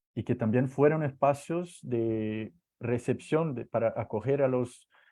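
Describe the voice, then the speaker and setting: In a Portuguese accent, a man speaks with a dark, mellow tone against a quiet background. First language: Portuguese (speaking Spanish). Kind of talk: online talk. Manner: halting, many fillers and repetitions.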